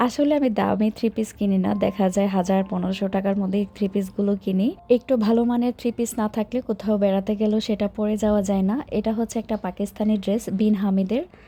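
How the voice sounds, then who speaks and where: A woman speaks in a somewhat breathy voice with a dark, mellow tone, fairly even intonation and very even loudness. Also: medium pitch for a woman. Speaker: lifestyle vlogger. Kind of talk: vlog narration.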